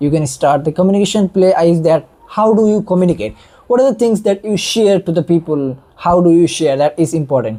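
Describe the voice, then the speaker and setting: The speaker has an Indian accent and talks at a fairly quick pace. There are hardly any pauses. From India, non-Hindi-speaking region. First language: Indian regional language, not Hindi. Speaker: online educator. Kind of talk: monologue tutorial.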